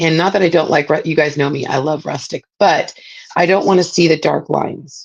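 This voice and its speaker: Moderate pace and ordinary pitch variation. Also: woman. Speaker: craft tutorial host. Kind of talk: live craft tutorial. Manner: casual, filler-heavy.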